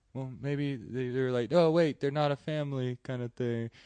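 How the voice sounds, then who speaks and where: The recording of this medium-pitched man with a Texas accent is dry and close, with no echo. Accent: Texas Southern drawl. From Deep South Texas, Rio Grande Valley. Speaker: stand-up comedian. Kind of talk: casual chat. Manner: halting, many fillers.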